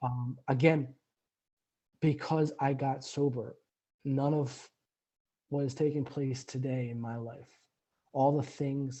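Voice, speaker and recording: A man's somewhat breathy, medium-pitched voice, fairly slow, with monotone, flat intonation. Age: 30s. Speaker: recovering alcoholic guest. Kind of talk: interview testimony. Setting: remote call. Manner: halting, many repetitions.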